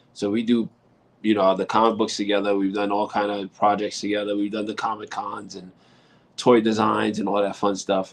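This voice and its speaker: With a New York accent, a man talks at a moderate pace. His pitch is fairly low. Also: quiet background. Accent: heavy New York. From New York City. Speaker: rock musician and author. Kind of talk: casual interview.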